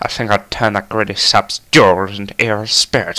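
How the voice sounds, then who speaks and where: Using a put-on character voice, a man talks at a moderate pace in a fairly low pitch. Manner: sinister, gloating.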